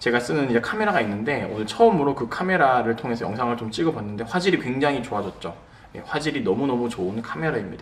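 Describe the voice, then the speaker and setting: Talking at a very fast pace, a man with a medium-pitched voice and lively intonation is heard amid noticeable background noise and audible room echo. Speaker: pastor. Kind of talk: lecture. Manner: slurred pronunciation; conversational with fillers.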